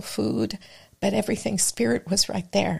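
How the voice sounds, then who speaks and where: A woman's fairly low pitch with very wide pitch swings and vocal fry, at a moderate pace. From Mexico, Michoacan. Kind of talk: casual interview chat.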